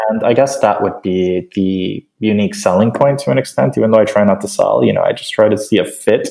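A man with a Spanish accent talks at a very fast pace. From Venezuela, Caracas. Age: 30s. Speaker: tech company CEO. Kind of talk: interview. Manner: halting.

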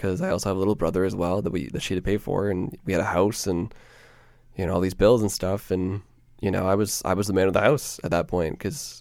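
A man's very deep, low voice with a Canadian accent, very fast pace and ordinary pitch variation, on a very clean recording with a silent background. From Canada, Ontario (Peterborough). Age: 20s. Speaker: podcast host, musician. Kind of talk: solo personal monologue. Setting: home recording in bedroom. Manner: hesitant, many fillers.

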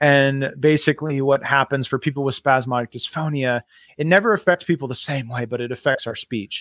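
In an American accent, a man with an unremarkable speaking voice talks at a fairly quick pace and a fairly high pitch with ordinary pitch variation, the sound dry and close with no echo on a very clean recording with a silent background. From Florida, US. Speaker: actor and comedian. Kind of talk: casual interview chat.

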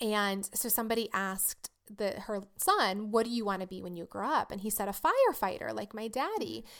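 A woman at a fairly quick pace with hardly any pauses, fairly high-pitched with ordinary pitch variation, big swings in loudness, and a very clean recording with a silent background. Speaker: podcast host, political candidate. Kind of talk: casual chat.

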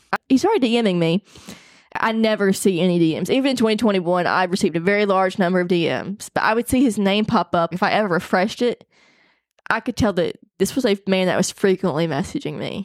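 In a Southern US accent, the speaker talks at a very fast pace with an animated tone and ordinary pitch variation, the sound dry and close with no echo. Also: woman, medium pitch for a woman. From Arkansas. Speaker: podcast host. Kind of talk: casual chat.

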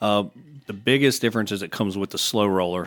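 With a Virginia accent, a man speaks at a fairly low pitch and with fairly even intonation. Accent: Southern US (Virginia). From Southwest Virginia, Roanoke. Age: 40s. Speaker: grill company sales manager. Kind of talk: casual chat. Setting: studio.

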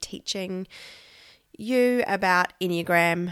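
With a New Zealand accent, a woman speaks in fairly even intonation. The sound is dry and close, with no echo. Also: very clean recording, silent background. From New Zealand, South Island (Christchurch). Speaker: podcast host, Enneagram coach. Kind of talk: solo monologue, informal teaching. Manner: casual, filler-heavy.

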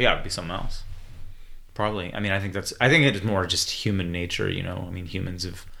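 Fairly low in pitch, a man speaks in a bright, sharp tone with fairly even intonation, and room echo is audible. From Houston, Texas (Mexican-American family). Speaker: rock musician. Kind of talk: interview.

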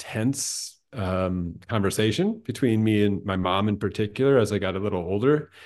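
A man with an American accent and a plain, everyday voice speaks at a fairly slow pace and a fairly low pitch. The background is quiet. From US Northeast (Pennsylvania). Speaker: writer and documentary filmmaker. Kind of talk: casual chat.

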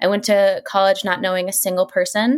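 An ordinary speaking voice from a woman with an American accent, medium pitch, fairly quick pace and lively intonation. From Dallas, Texas and Chicago. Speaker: blogger and small business founder. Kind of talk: casual interview.

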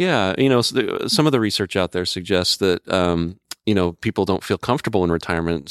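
A normal speaking voice moves at a fairly quick pace with ordinary pitch variation, in a dry, close sound with no echo and a very clean recording with a silent background. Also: man. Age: 40s. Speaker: podcast co-host. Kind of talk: casual chat.

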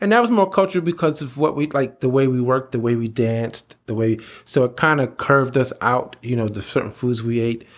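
An ordinary speaking voice at a fairly quick pace, with lively intonation over a very clean recording and silent background. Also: man. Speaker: podcast co-host. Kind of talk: casual chat.

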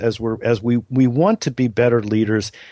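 The voice belongs to a man and is a plain, everyday voice. The sound is dry and close with no echo, over a quiet background. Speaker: pastor and ministry author. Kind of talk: interview conversation about ministry.

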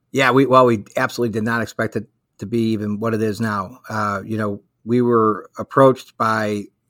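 A man in a Chicago accent at a moderate pace, monotone, flat intonation, dry, close sound with no echo, and a very clean recording with a silent background. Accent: Chicago American. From Chicago, US. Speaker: trade association executive. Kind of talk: interview.

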